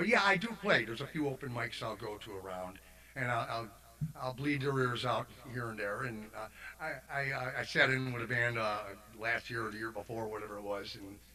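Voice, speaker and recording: Noticeable background noise accompanies a man with an American accent speaking at a fairly quick pace in a medium-pitched voice with ordinary pitch variation. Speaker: singer-songwriter. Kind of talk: casual chat.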